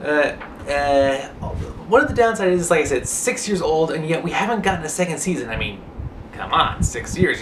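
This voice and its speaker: With noticeable background noise behind him, a man speaks at a fairly high pitch that swings very widely. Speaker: online show reviewer. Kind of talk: casual TV show review to camera. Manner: casual, hesitant.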